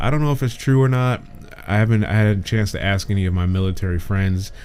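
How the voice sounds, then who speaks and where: Amid audible room echo, a man speaks at a fairly low pitch with ordinary pitch variation. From Michigan, US. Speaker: talk show host. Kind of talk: solo online talk show commentary. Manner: casual, many filler words.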